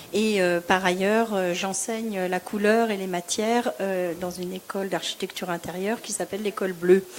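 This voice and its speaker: With noticeable background noise behind her, a woman speaks at a medium pitch in a monotone, flat intonation. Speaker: color consultant and interior design teacher. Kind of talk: panel discussion.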